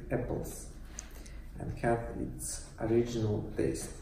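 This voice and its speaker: A man with a fairly low pitch talks over light background noise, and audible room echo surrounds his voice. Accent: Russian. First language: Russian. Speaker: YouTuber, cider reviewer; product reviewer. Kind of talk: product review vlog. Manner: halting, many fillers. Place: empty room. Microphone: camera far.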